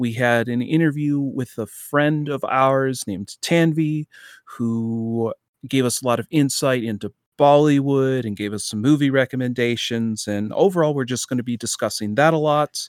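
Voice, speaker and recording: An ordinary speaking voice from a man, medium in pitch with ordinary pitch variation and a moderate pace, in a dry, close sound with no echo and a very clean recording with a silent background. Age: 20s. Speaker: podcast co-host. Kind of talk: casual chat. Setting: home room.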